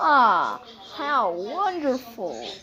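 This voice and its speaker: A put-on character voice, female-sounding and high-pitched for a woman, with very wide pitch swings. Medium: read story. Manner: proud, grandiose, cackling.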